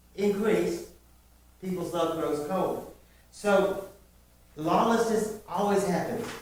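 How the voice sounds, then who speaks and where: A man speaks at a high pitch and a very slow pace, with fairly even intonation and long, frequent pauses. Noticeable background noise and audible room echo fill the recording. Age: 60s. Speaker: preacher. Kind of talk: sermon. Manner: conversational with fillers.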